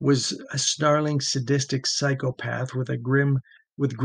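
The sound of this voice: An unforced reading voice over a quiet background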